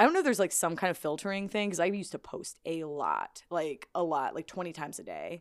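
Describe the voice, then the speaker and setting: Speaking at a very fast pace with hardly any pauses, a woman with an American accent comes through in a very clean recording with a silent background. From Illinois, Springfield. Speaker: podcast co-host. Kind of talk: casual chat.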